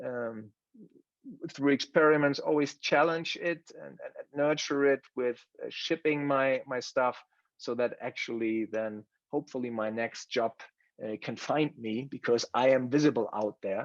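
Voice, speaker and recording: Speaking with a German accent, a man keeps a medium pitch, a fairly slow pace and fairly even intonation. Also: dry, close sound with no echo. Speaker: course participant. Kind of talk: presentation. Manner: halting, many fillers and repetitions.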